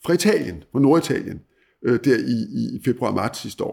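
Using a normal speaking voice, a man talks at a moderate pace and a fairly high pitch. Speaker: former newspaper editor, commentator. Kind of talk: interview on world affairs. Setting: at guest's country home.

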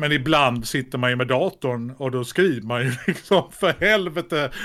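A man's plain, everyday voice, medium in pitch, at a fairly slow pace with ordinary pitch variation. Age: 50s. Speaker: actor and comedian. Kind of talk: casual chat.

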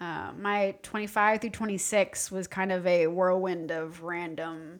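Using an ordinary speaking voice, a woman talks at a fairly slow pace with medium pitch and fairly even intonation. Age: 30s. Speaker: podcast co-host. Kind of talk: casual chat.

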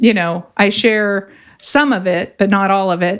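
A woman in an ordinary speaking voice with fairly even intonation. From California. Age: 50s. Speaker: clinical psychologist and coach. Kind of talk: interview conversation.

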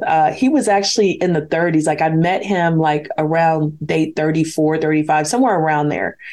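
A woman speaks at a fairly slow pace with a fairly low pitch. Her tone is dark and mellow. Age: 50s. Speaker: spoken-word artist and author. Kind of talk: interview.

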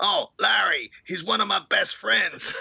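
Using a put-on character voice in an American accent, the speaker talks at a fairly slow pace with an extremely high, raspy pitch.

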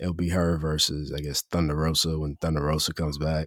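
Over a silent background in a very clean recording, a man speaks at a fairly quick pace with a very deep, low pitch and a dry, close sound with no echo. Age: 30s. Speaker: wrestling podcast host. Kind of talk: solo review monologue. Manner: casual, halting with fillers.

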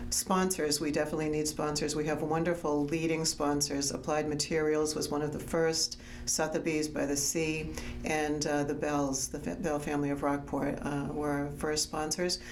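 A woman with an American accent, very deep, low pitch, monotone, flat intonation, very even loudness and a moderate pace, music in the background. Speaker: arts organization president, interviewer. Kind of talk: interview conversation.

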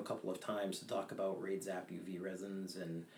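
A man speaks at a moderate pace with a very deep, low pitch. Noticeable background noise is present. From Maine. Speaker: fly tyer and fishing guide. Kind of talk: interview, casual chat.

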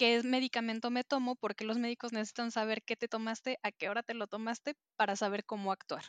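A woman with an unremarkable speaking voice talks at a fairly high pitch against a quiet background, the sound dry and close with no echo. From Mexico City. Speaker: planner enthusiast. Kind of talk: casual chat.

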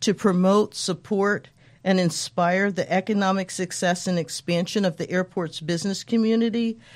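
With an American accent, a woman uses a normal speaking voice at medium pitch. Her intonation is fairly even. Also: moderate pace. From Colorado, US. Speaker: chamber of commerce president. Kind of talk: interview.

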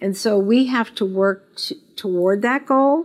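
Here is a woman with an American accent and an unremarkable speaking voice at medium pitch. She talks fairly slowly with ordinary pitch variation. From Las Vegas, US West. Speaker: business owner and CEO. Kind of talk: interview. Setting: office.

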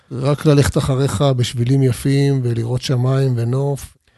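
A man's somewhat breathy voice at a medium pitch, with a dark, mellow tone. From Israel, Arad (Negev desert). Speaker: tour guide and finance executive. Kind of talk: interview.

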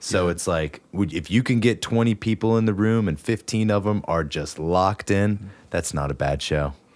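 With an American accent, a man speaks in a plain, everyday voice at a moderate pace, his fairly low pitch moving with ordinary variation. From West Virginia. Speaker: podcast co-host and musician. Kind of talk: casual chat. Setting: studio.

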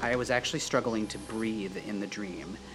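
With music in the background, a man with a fairly low pitch speaks in lively intonation. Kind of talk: casual chat.

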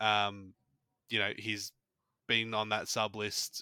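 Speaking very slowly, a man with an Australian accent has a medium pitch. The sound is dry and close, with no echo. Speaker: fantasy football podcast co-host. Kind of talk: casual chat.

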